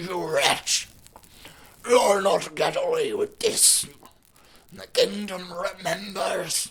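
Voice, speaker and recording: A raspy put-on character voice moves at a very slow pace, broken by long, frequent pauses. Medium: read story.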